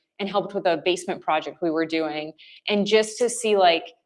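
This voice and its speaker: The speaker is a woman with an American accent. Her intonation is fairly even. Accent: Wisconsin accent, slight, comes out at times. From US Midwest, rural Wisconsin. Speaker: business services representative. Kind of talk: podcast interview.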